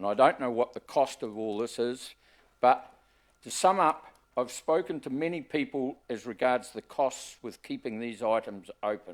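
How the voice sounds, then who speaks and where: A man in a New Zealand accent at medium pitch and moderate pace, with ordinary pitch variation, on a very clean recording with a silent background. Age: 70s. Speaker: member of the public making a submission. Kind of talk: public submission to council hearing. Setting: council chamber hearing.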